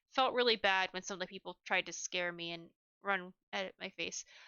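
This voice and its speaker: The delivery moves at a fairly quick pace. Pitch variation is ordinary. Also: woman. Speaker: podcaster reviewing haunted houses. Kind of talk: casual review monologue. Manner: fast; halting, many fillers.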